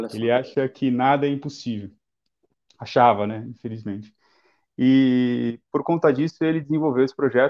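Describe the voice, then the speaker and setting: A normal speaking voice from a man, medium in pitch, at a moderate pace with fairly even intonation against a quiet background. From Guarujá, São Paulo coast, Brazil; São Paulo, Brazil. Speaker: environmental engineer, institute founder; guest. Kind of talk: live-stream interview. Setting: online live stream. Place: home room. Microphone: video call.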